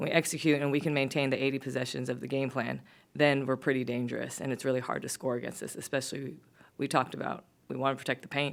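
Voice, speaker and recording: A woman speaks at a very fast pace in a very deep, low pitch, monotone and flat, with vocal fry. The recording is very clean, with a silent background. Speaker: basketball head coach. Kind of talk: post-game press conference. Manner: casual, with fillers.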